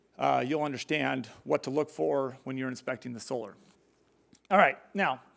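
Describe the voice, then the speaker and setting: A man's voice in a very clean recording with a silent background. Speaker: solar industry trainer and contractor. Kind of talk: conference presentation. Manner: fast.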